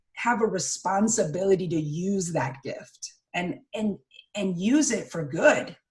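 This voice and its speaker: A woman's somewhat breathy, energetic voice at medium pitch, fairly slow in pace, with very wide pitch swings. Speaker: public speaking coach. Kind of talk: interview conversation.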